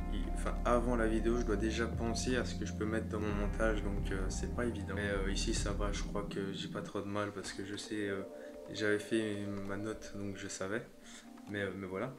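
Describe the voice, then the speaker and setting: A man speaks with music playing behind him. The room echo is audible. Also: moderate pace. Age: young. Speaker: YouTuber. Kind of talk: casual vlog talk. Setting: emptying room at home. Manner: hesitant, many fillers.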